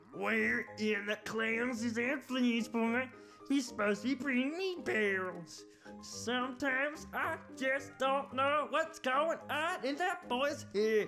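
Clear music plays in the background under a put-on character voice. The voice is fairly high-pitched and moves at a fairly slow pace.

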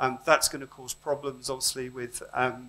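A man's voice comes across with a bright, sharp tone. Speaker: conference speaker. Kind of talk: lecture. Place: hall.

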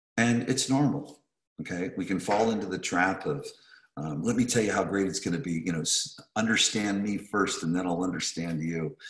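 Recorded against a quiet background with audible room echo, a man talks at a moderate pace with a fairly low pitch and ordinary pitch variation. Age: 50s. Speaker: real estate coach. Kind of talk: webinar presentation. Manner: animated. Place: home room. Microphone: video call.

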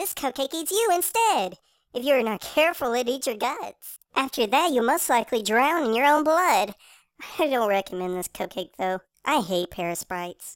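A woman's put-on character voice, high in pitch, at a moderate pace, on a very clean recording with a silent background. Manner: sweetly menacing, giddy.

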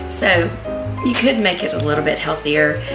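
A woman speaks with clear music in the background. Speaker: home cook vlogger. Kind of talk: casual cooking tutorial. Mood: friendly, lighthearted. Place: kitchen. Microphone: camera far.

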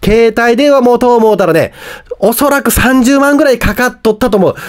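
A man speaks at a fairly quick pace in an extremely high voice, with ordinary pitch variation and noticeable background noise. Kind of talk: casual news-recap talk to camera.

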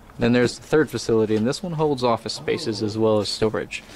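A man talks with ordinary pitch variation while noticeable background noise runs behind him. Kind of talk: casual vlog commentary. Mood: relaxed, joking. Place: open country. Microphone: phone near.

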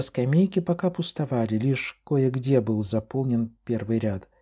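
A man speaks in a dark, mellow tone with very wide pitch swings, on a very clean recording with a silent background. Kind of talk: literary audiobook reading, scripted narration of a novel. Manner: measured, expressive storytelling pace.

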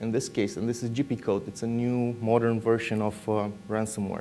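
A man speaks at a medium pitch. He has a Romanian accent. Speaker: security researcher. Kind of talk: conference talk. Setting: stage with audience.

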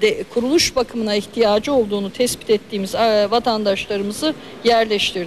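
A woman talks with ordinary pitch variation at a moderate pace while light background noise runs underneath. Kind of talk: press statement. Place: hall. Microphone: handheld.

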